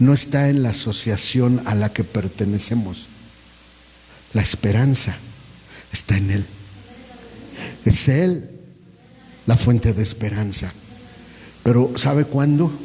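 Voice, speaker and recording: A man at a very slow pace and medium pitch, with ordinary pitch variation, long, frequent pauses and noticeable background noise. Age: 60s. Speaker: pastor. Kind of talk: sermon.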